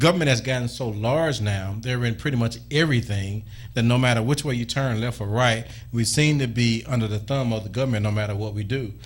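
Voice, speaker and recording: A man's voice comes across as somewhat breathy. He speaks fairly quickly. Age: young. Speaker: radio talk show host. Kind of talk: call-in radio talk show.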